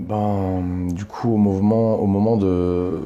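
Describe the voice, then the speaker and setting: This man's voice is very deep and low, and his intonation stays monotone and flat. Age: 30s. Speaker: activist. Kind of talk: interview. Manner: halting, many fillers.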